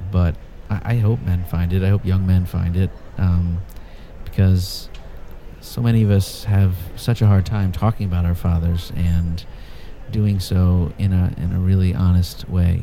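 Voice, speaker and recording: Amid noticeable background noise, a man with a very deep, low pitch speaks at a fairly slow pace in a monotone, flat intonation with long, frequent pauses. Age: 40s. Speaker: writer. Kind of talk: interview; reading aloud.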